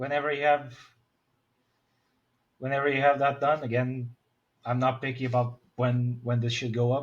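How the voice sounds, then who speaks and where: The delivery is monotone and flat, somewhat breathy. Long, frequent pauses break it up. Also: man, medium pitch for a man, moderate pace. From Portugal. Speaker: indie game developer. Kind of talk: casual chat.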